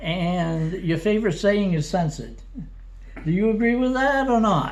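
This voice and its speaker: Man's high-pitched voice at a moderate pace, with ordinary pitch variation, very even loudness and audible room echo. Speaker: oral history interviewer. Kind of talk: oral history interview. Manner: halting, hesitant.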